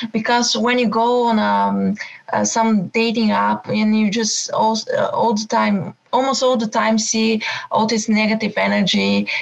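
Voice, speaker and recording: A woman with a non-native accent at a fairly slow pace, her loudness very even, with noticeable background noise. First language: not English. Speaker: coaching caller. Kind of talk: coaching call. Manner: halting, many hesitations.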